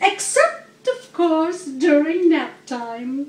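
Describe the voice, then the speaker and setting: Using a put-on character voice, a woman speaks sing-song at a very slow pace in an extremely high pitch. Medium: read story. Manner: chirpy, enthusiastic, singsong.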